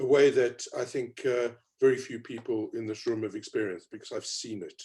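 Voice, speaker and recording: A man with a South African accent speaks in a dark, mellow tone with fairly even intonation. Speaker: panelist on race inclusion. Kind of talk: panel discussion.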